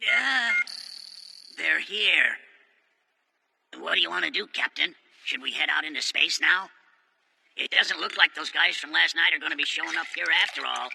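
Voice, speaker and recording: This man uses a put-on character voice at a moderate pace. His long pauses come often. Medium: fan dub. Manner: casual, blunt.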